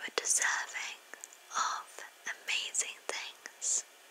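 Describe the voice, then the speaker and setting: Whispering at a very slow pace, a woman uses a gentle tone. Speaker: ASMR creator. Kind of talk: ASMR positive affirmations to camera. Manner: soft, gentle, relaxing. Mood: warm, soothing. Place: home room. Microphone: studio mic.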